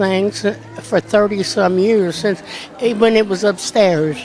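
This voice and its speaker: A woman speaks with a Kentucky accent and ordinary pitch variation. Noticeable background noise sits behind her voice. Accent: rural Kentucky Southern US. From Kentucky, Boyle County. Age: 80s+. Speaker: event volunteer. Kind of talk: casual interview.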